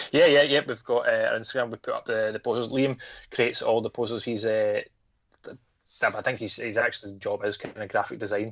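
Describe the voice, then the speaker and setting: A man talks at a fairly quick pace. He speaks with a Scottish accent. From Scotland. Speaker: horror podcast co-host. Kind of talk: casual chat. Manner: fast.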